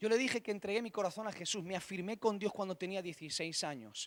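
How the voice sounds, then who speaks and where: In a dry, close sound with no echo, a man speaks at a very fast pace with a high pitch and ordinary pitch variation. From Spain, Catalonia (Barcelona). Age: 30s. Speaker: pastor. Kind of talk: sermon.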